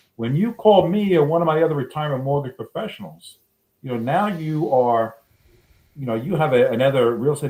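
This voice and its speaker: Rapid speech comes from a man with a New York accent, his pitch fairly high and his intonation lively. His tone is dark and mellow, somewhat breathy. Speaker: reverse mortgage loan officer. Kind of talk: casual interview.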